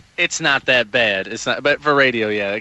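Speaking fairly quickly, a man is heard against noticeable background noise. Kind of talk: casual chat.

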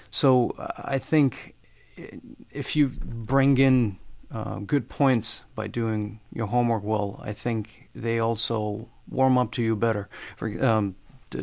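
This man's medium-pitched voice moves at a very slow pace with fairly even intonation. The recording is very clean, with a silent background. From Albania. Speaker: graduate journalism student. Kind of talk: casual interview. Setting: studio. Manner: halting, repeats words.

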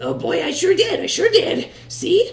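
This is a put-on character voice. The pace is moderate. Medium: actual play. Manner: chirpy, eager.

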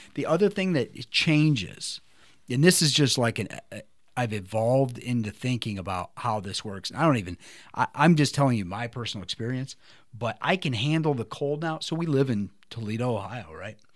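With lively intonation and a medium pitch, a man speaks in a plain, everyday voice on a very clean recording with a silent background. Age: 40s. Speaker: podcast host. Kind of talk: casual chat.

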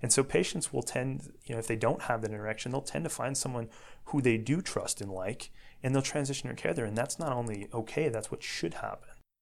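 The speaker has an ordinary speaking voice with an American accent. The pace is fairly quick and the pitch varies in an ordinary way. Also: man, medium pitch for a man. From US Midwest, Northwest Indiana. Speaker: orthopedic surgeon. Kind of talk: interview.

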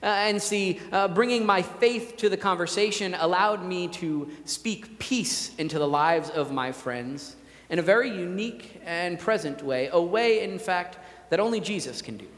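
Noticeable background noise sits behind a man who speaks with a high pitch and lively intonation at a moderate pace. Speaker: pastor. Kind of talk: sermon. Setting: church. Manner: loud.

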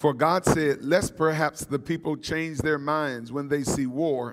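Recorded very cleanly against a silent background, a man with a fairly high pitch and ordinary pitch variation speaks in an unremarkable speaking voice. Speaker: preacher. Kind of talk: sermon to seminary students. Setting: church or chapel with congregation. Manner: call-and-response, urgent, exhorting.

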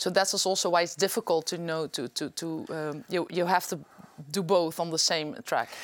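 A moderate pace in a Limburg accent, on a very clean recording with a silent background. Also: woman, fairly low pitch for a woman, ordinary pitch variation. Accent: Dutch (Limburg) accent in English. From Netherlands, Limburg (Venlo). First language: Dutch. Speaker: politician. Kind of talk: interview. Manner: halting.

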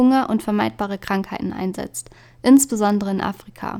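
This woman's voice sits fairly high and has a dark, mellow tone. She talks at a moderate pace with fairly even intonation. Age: 20s. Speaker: podcast host. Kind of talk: solo podcast monologue.

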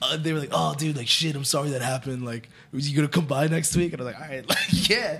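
With an American accent, a man talks very fast at a fairly high pitch, with hardly any pauses. His loudness swings a lot, his pitch varies in an ordinary way, and noticeable background noise is present. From New Jersey. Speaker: musician and clothing entrepreneur. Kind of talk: casual interview chat.

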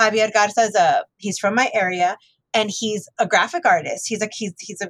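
At a fairly quick pace, the voice comes with an American accent in a dry, close sound with no echo. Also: woman. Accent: South Texas Mexican American English. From US South, Texas border (Rio Grande Valley). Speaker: librarian and author. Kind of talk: interview conversation.

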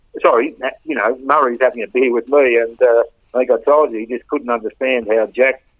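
A man talks rather quickly at a mid-range pitch, his intonation monotone and flat. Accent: Australian. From Australia, Melbourne. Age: 70s. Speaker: football club relative sharing memories. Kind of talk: casual interview reminiscing. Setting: at home, lying in bed. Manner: halting.

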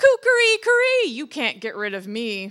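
Putting on a character voice, a woman speaks high-pitched at a moderate pace, her bright, sharp tone swinging very widely in pitch.

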